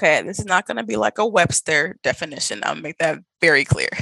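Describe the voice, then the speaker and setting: A woman's bright, sharp voice with vocal fry, dry and close with no echo. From US Midwest, Milwaukee. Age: 20s. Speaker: travel blogger. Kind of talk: casual interview.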